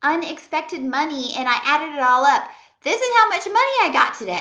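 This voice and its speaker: A woman's extremely high, bright and sharp voice, raised and projected, with very wide pitch swings at a moderate pace and audible room echo. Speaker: home organizing vlogger. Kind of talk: casual vlog talk to camera.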